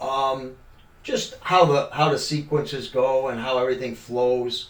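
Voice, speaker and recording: Monotone and flat, a man speaks at a fairly slow pace amid noticeable background noise and audible room echo. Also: medium pitch for a man. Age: 60s. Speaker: podcast guest, amateur actor. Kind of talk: casual interview chat. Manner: halting, many fillers.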